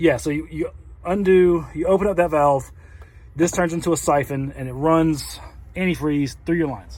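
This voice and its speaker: Fairly high in pitch for a man, this speaker's voice shows ordinary pitch variation. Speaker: RV owner vlogger. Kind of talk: tutorial. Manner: fast.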